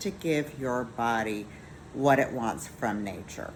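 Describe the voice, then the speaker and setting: Audible room echo surrounds a woman with a very deep, low pitch. She talks at a very slow pace with ordinary pitch variation. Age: 50s. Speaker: skincare business owner. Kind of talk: sales pitch.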